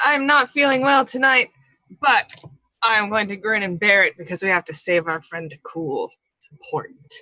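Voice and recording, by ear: A woman puts on a gravelly character voice at a fairly high pitch. She moves at a moderate pace with very wide pitch swings.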